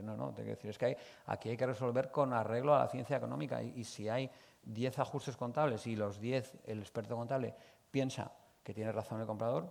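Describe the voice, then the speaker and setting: Speaking very fast, a man uses a medium pitch. His intonation stays fairly even. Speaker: accounting expert, conference speaker. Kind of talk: conference talk. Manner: hesitant, many fillers.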